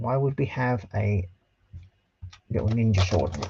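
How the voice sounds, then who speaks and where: Somewhat breathy and mumbling, a man speaks at a fairly slow pace. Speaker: scale model livestreamer. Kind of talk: casual livestream build commentary.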